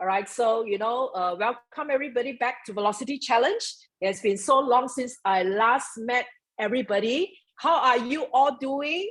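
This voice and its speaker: Loud and animated, a woman speaks at a high pitch with lively intonation. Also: moderate pace. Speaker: network marketing mentor. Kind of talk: motivational talk.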